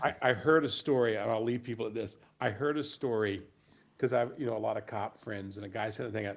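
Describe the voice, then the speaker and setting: Vocal fry runs through this man's speech. His pitch is fairly low. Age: 60s. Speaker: podcast co-host. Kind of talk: casual political chat. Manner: halting, many restarts.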